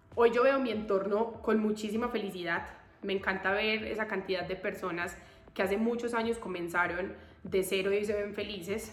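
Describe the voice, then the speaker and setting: In a recording with audible room echo and noticeable background noise, a woman speaks at medium pitch and a moderate pace. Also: fairly even intonation. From Colombia. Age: 20s. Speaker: podcaster. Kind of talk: personal monologue. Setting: temporary spot in Bogotá.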